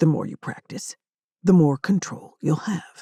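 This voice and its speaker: A woman's put-on character voice at a fairly low pitch, moderate in pace, with a dry, close sound and no echo. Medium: read story. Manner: blunt, terse, unflappable.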